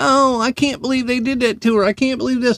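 At a moderate pace, a man talks with an American accent. The sound is dry and close with no echo. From United States. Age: 50s. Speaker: podcast host, military veteran. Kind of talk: solo rant. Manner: animated.

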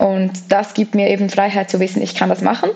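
A woman's medium-pitched voice against noticeable background noise. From Switzerland, Graubünden (Flims). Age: 30s. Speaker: long-distance hiker and author. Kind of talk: interview.

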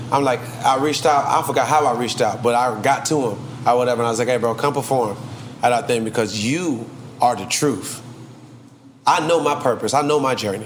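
With an Atlanta accent, a man speaks at a fairly quick pace and medium pitch with ordinary pitch variation, long, frequent pauses, noticeable background noise and audible room echo. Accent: Atlanta Southern US. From Trinidad and Tobago, raised in Atlanta. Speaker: rapper. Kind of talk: casual interview.

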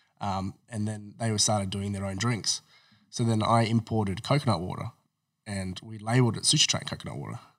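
Here a man talks fairly quickly with an Australian accent. His pitch is fairly low and his intonation fairly even. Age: 30s. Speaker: entrepreneur. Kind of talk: interview.

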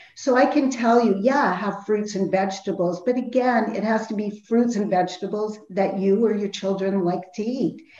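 A woman of medium pitch speaks at a moderate pace with fairly even intonation and hardly any pauses, amid noticeable background noise and audible room echo. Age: 50s. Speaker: health and nutrition counselor. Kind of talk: interview. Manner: halting.

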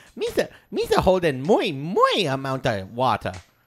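Someone speaks in a put-on character voice at a middle pitch and a fairly slow pace. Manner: playful, silly.

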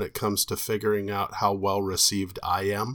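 On a very clean recording with a silent background, a man can be heard talking. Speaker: guest, co-host's father with a doctorate. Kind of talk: casual chat.

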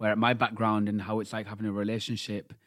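Very cleanly recorded against a silent background, a man with a British accent talks at medium pitch and a fairly quick pace. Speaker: podcast co-host. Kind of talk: casual chat.

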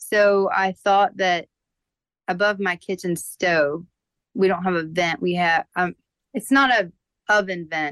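A woman with an American accent and an unremarkable speaking voice talks at a fairly slow pace and fairly low pitch. Her pitch varies in an ordinary way, and the sound is dry and close with no echo. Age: 30s. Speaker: caller, mother. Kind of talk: phone-in consultation.

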